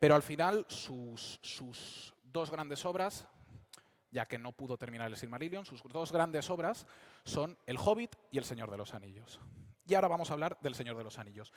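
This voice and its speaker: A man's fairly high-pitched voice at a moderate pace, with lively intonation and big swings in loudness. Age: 20s. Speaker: fantasy novelist and speaker. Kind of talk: public talk at a convention. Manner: hesitant with fillers.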